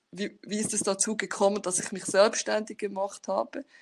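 Noticeable background noise accompanies speech whose intonation stays fairly even. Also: woman. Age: 30s. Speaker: scrum master and agile coach; agile coach. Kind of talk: conference talk. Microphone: webcam.

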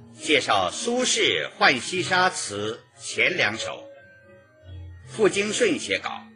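Long, frequent pauses break up very slow speech, with clear music in the background. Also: man. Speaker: radio broadcaster, professional announcer. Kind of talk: radio literary appreciation narration. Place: studio.

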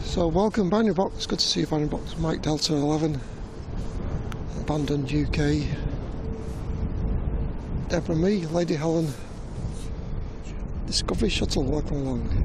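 A man at a moderate pace with long, frequent pauses, a dry sound with no echo, and noticeable background noise. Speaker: live stream host. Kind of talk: casual live stream chat and commentary. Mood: cheerful, relaxed. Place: open country.

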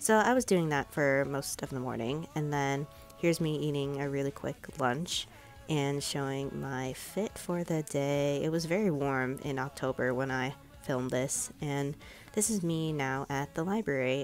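Over music in the background, a woman with an American accent and a very deep, low pitch speaks at a moderate pace with ordinary pitch variation. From Chicago suburbs, USA. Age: 20s. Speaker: publishing intern and library worker. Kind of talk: casual vlog voiceover.

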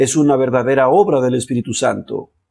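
A man talks at an even, middling speed. Soft music can be heard behind him. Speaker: religious commentator. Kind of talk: commentary.

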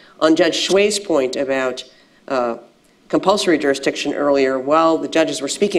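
Woman with an American accent, very deep and low in pitch, at a fairly quick pace. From United States. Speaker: international judge; international court judge on a panel. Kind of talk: panel discussion. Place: hall. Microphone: lapel.

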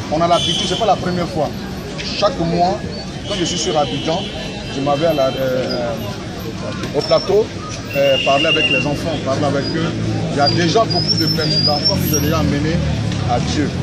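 With music in the background, a man talks at a moderate pace, leaving long, frequent pauses. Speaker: preacher. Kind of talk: informal street preaching. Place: street. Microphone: phone near.

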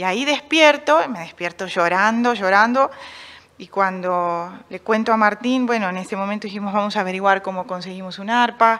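A woman's bright, sharp tone comes with big swings in loudness. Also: ordinary pitch variation, moderate pace. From Argentina, Buenos Aires northern suburbs; Argentina. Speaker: painter; interviewee. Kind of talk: radio interview. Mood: reflective, personal. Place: stage. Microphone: studio mic.

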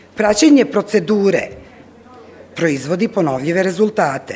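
At a moderate pace, a woman speaks with light background noise behind her. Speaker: conference presenter. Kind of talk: lecture. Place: hall.

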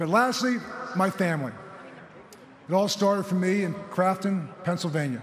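Against light background noise and audible room echo, a man with a high pitch speaks at a moderate pace with ordinary pitch variation. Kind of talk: formal acceptance speech. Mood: emotional, grateful. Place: stadium. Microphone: podium.

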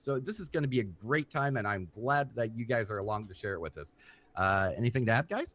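In a very clean recording with a silent background, a man with an unremarkable speaking voice talks at a fairly quick pace, his medium pitch carried by lively intonation. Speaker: gaming YouTuber. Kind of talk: casual gameplay commentary.

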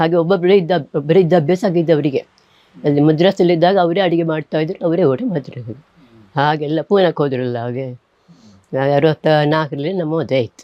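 This woman's voice is very deep and low in pitch. Its pitch varies in an ordinary way. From coastal Karnataka, Puttur (Dakshina Kannada). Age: 80s+. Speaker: writer. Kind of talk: interview. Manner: halting.

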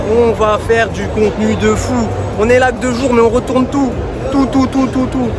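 A man talks at a moderate pace over music in the background. The sound is dry, with no echo. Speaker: vlogger. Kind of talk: casual vlog chat. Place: hall. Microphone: phone near.

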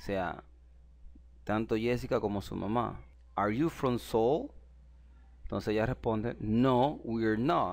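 Here a man talks with a Spanish accent at a fairly slow pace, leaving long, frequent pauses. The recording is very clean, with a silent background. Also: medium pitch for a man, ordinary pitch variation. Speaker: English teacher. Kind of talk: language lesson. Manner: explanatory, repeats phrases.

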